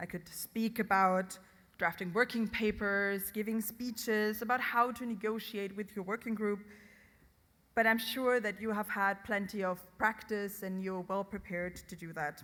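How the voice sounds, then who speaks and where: A woman talks at a moderate pace with a bright, sharp tone and medium pitch. Her intonation is fairly even, and the recording is very clean with a silent background. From Germany, Hessen. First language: German (Hessian dialect). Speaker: conference official giving opening speech. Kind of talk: ceremonial speech.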